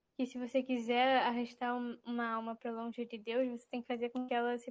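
A woman's high-pitched voice at a fairly quick pace, with monotone, flat intonation. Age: 20s. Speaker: university student. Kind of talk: casual chat.

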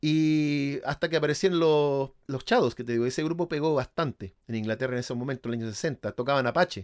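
A man with a normal speaking voice, fairly high pitch, ordinary pitch variation, a fairly quick pace and hardly any pauses, in a dry, close, very clean recording with no echo and a silent background. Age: 50. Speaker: musician and Beatles expert. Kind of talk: casual chat.

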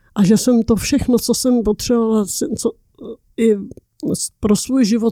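Recorded dry and close with no echo, a woman speaks at a fairly high pitch in a dark, mellow tone. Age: 80s+. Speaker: interviewee, great-aunt. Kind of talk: casual chat. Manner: halting.

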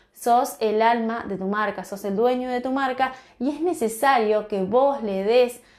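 This woman's voice has a fairly high pitch, ordinary pitch variation and a warm tone. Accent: Rioplatense. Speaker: natural cosmetics business founder and podcast host. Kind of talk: informal solo podcast advice talk. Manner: warm, encouraging.

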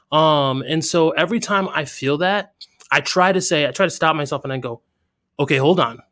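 A man with a fairly high pitch and a bright, sharp tone, with ordinary pitch variation and a fairly quick pace. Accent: American. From US. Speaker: military veteran and entrepreneur. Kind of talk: casual chat. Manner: halting.

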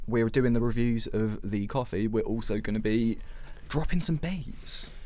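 Dark and mellow in tone, a man speaks at a medium pitch with ordinary pitch variation. His pace is fairly slow, and audible room echo is present. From Southend, Essex, England. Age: 20s. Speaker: student podcast co-host. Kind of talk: casual chat. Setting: studio.

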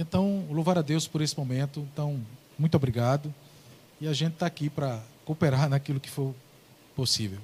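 Fairly high-pitched, somewhat breathy man at a fairly quick pace, ordinary pitch variation, long and frequent pauses. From Paraíba, Brazil (Ingá). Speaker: pastor. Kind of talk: religious talk show discussion. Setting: studio.

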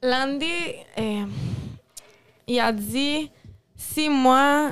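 High, ordinarily varied pitch from a woman. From Quebec, partly raised in Mendoza, Argentina. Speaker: singer. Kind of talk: interview.

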